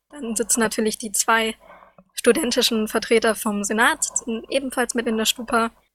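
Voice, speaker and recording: Recorded with a dry, close sound and no echo, a woman talks at a moderate pace in an unremarkable speaking voice, fairly high-pitched with fairly even intonation. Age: 20s. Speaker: student representative. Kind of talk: casual news chat.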